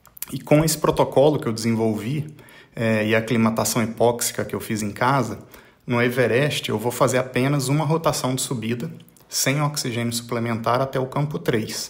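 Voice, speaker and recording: A man speaks in a plain, everyday voice at medium pitch. His intonation is fairly even and his pace is moderate. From Brazil. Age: 40s. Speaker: mountaineer and business executive. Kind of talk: recorded voice message. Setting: pre-recorded audio message.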